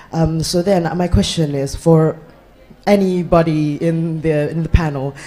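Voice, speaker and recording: Speech at a moderate pace with noticeable background noise. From Indonesia. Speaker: student activist. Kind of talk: audience question at panel. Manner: halting.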